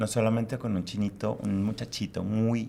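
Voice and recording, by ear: The voice has vocal fry and a dark, mellow tone. Its pitch moves very little. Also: man, fairly low pitch for a man, moderate pace.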